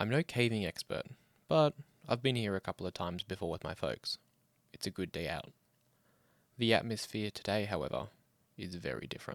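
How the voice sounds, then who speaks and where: This man's fairly low voice carries vocal fry and lively intonation at a fairly quick pace, broken by long, frequent pauses, on a very clean recording with a silent background. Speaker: horror story narrator. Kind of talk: horror story reading.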